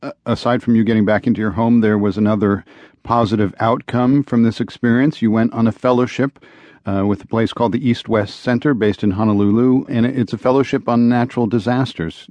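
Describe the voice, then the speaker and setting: Using a plain, everyday voice, a man talks fairly quickly at a medium pitch with fairly even intonation. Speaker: radio news host. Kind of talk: formal news reading, broadcast headlines and sponsor credits. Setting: studio. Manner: formal; crisp, even-paced, authoritative newsreader delivery.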